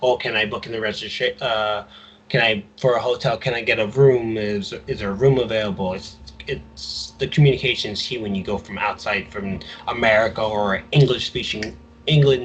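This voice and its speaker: The voice is somewhat breathy, with fairly even intonation and a moderate pace. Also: man, medium pitch for a man. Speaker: podcast co-host. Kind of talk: casual chat.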